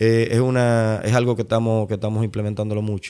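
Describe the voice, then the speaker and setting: A man talks at a very fast pace in a fairly low pitch. His tone is dark and mellow, and his intonation is monotone and flat. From Dominican Republic, Santo Domingo. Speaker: architect and urban planning director. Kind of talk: interview. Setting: city hall office.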